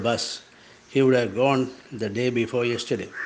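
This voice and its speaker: This is a man speaking. He has a Sri Lankan accent. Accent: Sri Lankan Tamil. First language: Tamil. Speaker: writer. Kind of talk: reading aloud.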